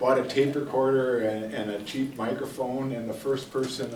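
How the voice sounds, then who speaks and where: With a Wisconsin accent, a man speaks at a moderate pace and with fairly even intonation, amid audible room echo and noticeable background noise. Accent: Upper Midwest (Wisconsin). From northwestern Wisconsin, Rice Lake. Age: 70s. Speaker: retired folklore professor. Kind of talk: lecture. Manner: halting, many fillers.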